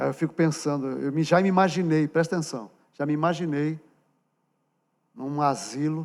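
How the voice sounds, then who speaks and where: The pace is moderate and the intonation fairly even, broken by long, frequent pauses. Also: man, fairly high pitch for a man, very clean recording, silent background. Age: 60s. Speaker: pastor. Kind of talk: sermon. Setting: church. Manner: conversational, direct address to congregation.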